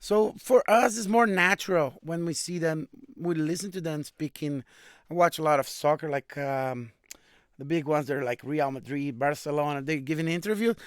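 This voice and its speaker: A man with a fairly high pitch and ordinary pitch variation speaks at a moderate pace, in a dry, close sound with no echo and a very clean recording with a silent background. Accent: Brazilian. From Brazil, Minas Gerais (Coronel Fabriciano). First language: Brazilian Portuguese. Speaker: musician. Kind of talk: casual chat.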